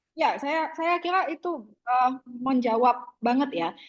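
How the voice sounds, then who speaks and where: The speech moves at a fairly slow pace, with pitch swinging very widely up and down. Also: woman. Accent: Jambi. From Jambi, Sumatra (Kuala Tungkal, coastal). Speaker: university lecturer. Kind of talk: online lecture discussion. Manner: casual, filler-heavy (gitu, eh).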